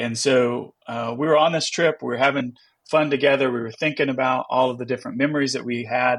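A man with a normal speaking voice, medium pitch, fairly even intonation, and a fairly quick pace. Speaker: pastor. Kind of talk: casual chat.

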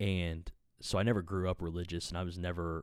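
A man's very deep, low pitch in monotone, flat intonation, on a very clean recording with a silent background. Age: 30s. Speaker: podcast host and musician. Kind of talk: casual solo podcast monologue. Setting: home podcast recording. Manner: rambling, profane, casual.

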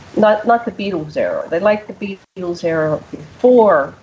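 Through noticeable background noise, a woman speaks with an American accent and ordinary pitch variation. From US Northeast (Pennsylvania). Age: 60s. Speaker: radio show host. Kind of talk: casual interview chat.

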